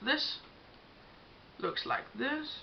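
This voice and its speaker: Speaking at a very slow pace, a woman has a slight Danish accent. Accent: Danish accent, self-described, slight. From Denmark. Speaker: beauty vlogger. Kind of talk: tutorial. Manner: casual with frequent fillers.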